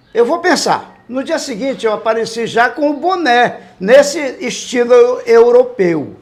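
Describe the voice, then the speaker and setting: Over noticeable background noise, a man with an extremely high pitch speaks at a fairly slow pace. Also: ordinary pitch variation. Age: 70s. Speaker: veteran radio police reporter. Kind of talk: interview.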